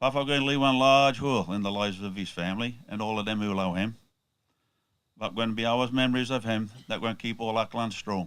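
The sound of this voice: A man's fairly low voice, clear and smooth yet fairly bright in tone, with fairly even intonation and a fairly quick pace.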